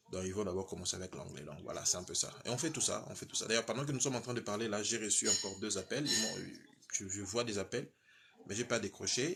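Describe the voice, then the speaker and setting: Using ordinary pitch variation, a man talks at a fairly quick pace. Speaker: visa consultant and channel host. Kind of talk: live stream chat. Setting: live from home. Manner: halting, many fillers and repetitions.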